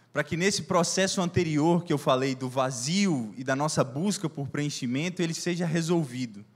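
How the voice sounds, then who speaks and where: He is a man with a fairly high pitch and ordinary pitch variation. He speaks with hardly any pauses. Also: moderate pace. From Brazil, Minas Gerais. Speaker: preacher. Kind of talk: sermon. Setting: church service.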